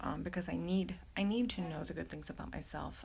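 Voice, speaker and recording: A woman whispers at a fairly quick pace. The room echo is audible, and there is noticeable background noise. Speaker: mental health vlogger, homeschooling mother. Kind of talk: casual livestream talk. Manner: hesitant, many fillers.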